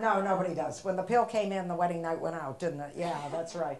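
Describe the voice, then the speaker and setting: Room echo is audible as a woman talks at a very fast pace in an American accent. Her pitch is medium. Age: 70s. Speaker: comedian. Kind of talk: stand-up. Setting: stage with audience.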